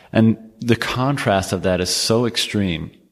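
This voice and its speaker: A man with a Canadian accent has a normal speaking voice, a fairly low pitch and fairly even intonation. He goes at a fairly slow pace on a very clean recording with a silent background. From Canada. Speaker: podcast host. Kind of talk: casual interview chat.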